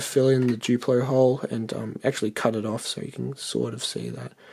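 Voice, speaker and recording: Speaking at a fairly quick pace, this voice has an Australian accent. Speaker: custom toy figure maker. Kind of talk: tutorial. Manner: hesitant, many fillers.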